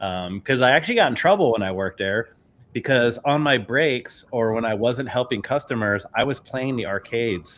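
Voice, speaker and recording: A man at medium pitch and a moderate pace, with ordinary pitch variation. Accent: American. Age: 50s. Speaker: podcast host. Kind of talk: casual interview chat.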